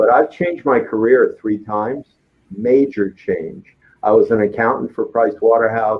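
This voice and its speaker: Using a plain, everyday voice, a man talks at medium pitch and a moderate pace. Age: 60s. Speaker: business consultant. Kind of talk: talk show interview.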